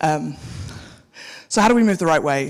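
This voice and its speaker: A woman's very deep, low pitch comes with vocal fry. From South Africa. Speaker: tech executive, keynote speaker. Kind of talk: conference keynote. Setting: stage with audience. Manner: fast.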